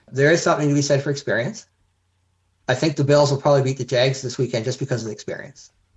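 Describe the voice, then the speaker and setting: A man with a Canadian accent talks at a very fast pace. His fairly high voice is somewhat breathy, with fairly even intonation. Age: 70s. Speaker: heart transplant recipient, community volunteer. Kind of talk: casual chat.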